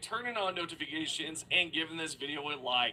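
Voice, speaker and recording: At a fairly quick pace, the speech comes through noticeable background noise. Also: man. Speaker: gaming YouTuber. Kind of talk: commentary reading viewer comments.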